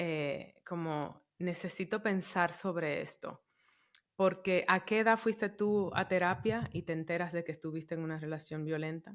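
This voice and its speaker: A very clean recording, silent background, and a fairly slow speaking pace. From Dominican Republic. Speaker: podcast host. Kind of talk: interview conversation.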